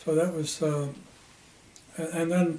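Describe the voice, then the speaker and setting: A man speaks in an American accent at a moderate pace, his pitch fairly high and his intonation monotone and flat. Noticeable background noise runs behind him. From Ohio, USA. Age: 80s+. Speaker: retired sales engineer. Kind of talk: interview answer.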